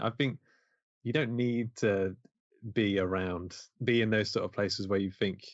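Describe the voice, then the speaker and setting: Speaking at a moderate pace in an East Midlands accent, a man keeps a fairly low pitch and fairly even intonation. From Mansfield, English East Midlands. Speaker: independent filmmaker. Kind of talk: casual interview chat.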